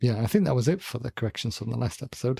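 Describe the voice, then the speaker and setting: With a slight North Welsh accent, a man talks at medium pitch with vocal fry, recorded dry and close with no echo. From North Wales. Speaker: podcast co-host, political scientist. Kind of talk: casual chat.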